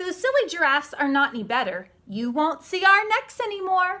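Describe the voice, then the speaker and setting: In a put-on character voice, a woman speaks at a moderate pace at an extremely high pitch, with very wide pitch swings. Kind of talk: bedtime story. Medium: read story. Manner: indignant, complaining.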